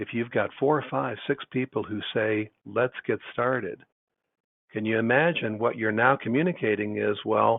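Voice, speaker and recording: In an ordinary speaking voice, a man talks at a fairly slow pace with medium pitch and ordinary pitch variation. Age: 60s. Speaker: business consultant for contractors. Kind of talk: webinar presentation. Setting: online webinar.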